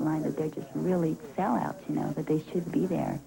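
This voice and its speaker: A woman talks at a very fast pace with a very deep, low pitch. Her intonation stays fairly even over noticeable background noise. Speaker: boycott organizer. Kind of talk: interview.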